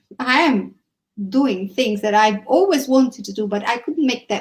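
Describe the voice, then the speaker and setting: Her pitch high, a woman speaks in an Italian accent with ordinary pitch variation. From Italy, Naples. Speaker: entrepreneur and English teacher. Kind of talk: casual conversation.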